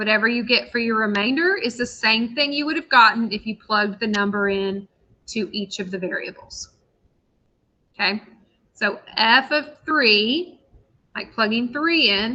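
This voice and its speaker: A woman speaks at a moderate pace in a fairly high pitch. She has a normal speaking voice. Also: ordinary pitch variation. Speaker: math teacher. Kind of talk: lecture.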